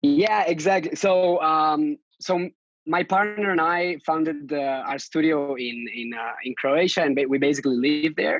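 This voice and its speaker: A man with a Catalan accent talks at a moderate pace. His pitch is fairly high, with ordinary pitch variation. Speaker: lettering artist and designer. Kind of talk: podcast interview. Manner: halting, many fillers.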